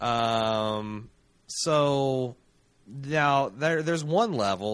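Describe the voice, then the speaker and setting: A man's fairly high-pitched voice comes through over a quiet background. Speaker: podcast host. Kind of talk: casual recap chat. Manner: animated, casual, swears.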